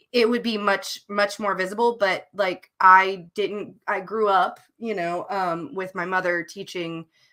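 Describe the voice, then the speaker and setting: A woman with a Southern US accent talks at a fairly slow pace in a bright, sharp tone. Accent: mild Southern twang. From US South. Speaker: novelist co-hosting writing sprints. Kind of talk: casual livestream chat. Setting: live stream.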